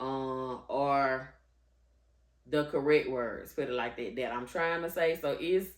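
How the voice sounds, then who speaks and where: A woman with a Southern US accent, very deep, low pitch, ordinary pitch variation and a very slow pace. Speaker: vlogger. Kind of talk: storytime vlog. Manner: halting, word-finding pauses.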